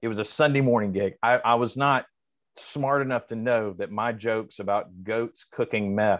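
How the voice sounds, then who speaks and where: With an American accent, a man speaks at a moderate pace and a medium pitch in a plain, everyday voice. His intonation is fairly even, and the background is quiet. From US South. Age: 40s. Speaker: comedian. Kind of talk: casual chat.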